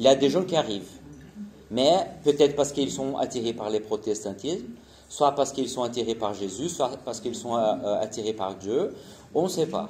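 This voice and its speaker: A man at a medium pitch and moderate pace, lively in intonation, with long, frequent pauses. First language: Portuguese (speaking French). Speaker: missionary. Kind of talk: conference presentation. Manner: halting, many hesitations.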